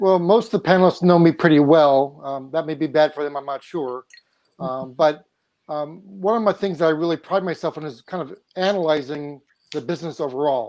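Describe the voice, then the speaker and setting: An unremarkable speaking voice from a man, fairly high in pitch with ordinary variation, fairly quick in pace, with big swings in loudness over a quiet background. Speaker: panelist. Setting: panel discussion.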